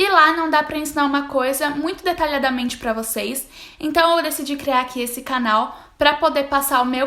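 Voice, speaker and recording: Speaking in a raised, projected voice, a woman with a high pitch and a bright, sharp tone keeps a moderate pace and ordinary pitch variation. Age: 20s. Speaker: university student and study vlogger. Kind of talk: tutorial.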